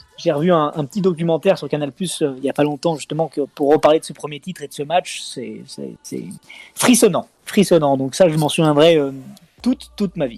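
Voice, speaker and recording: A man talks with an unremarkable speaking voice at a fairly high pitch. The sound is dry and close, with no echo. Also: ordinary pitch variation, moderate pace, big swings in loudness. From Lyon, France. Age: 30s. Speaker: reality TV contestant and football fan. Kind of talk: casual football talk.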